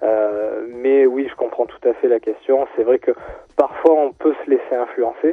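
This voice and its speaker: A man speaks at a fairly slow pace with very even loudness. Background noise is noticeable. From Marseille, southern France. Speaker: sneaker retail manager. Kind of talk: radio interview. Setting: phone call.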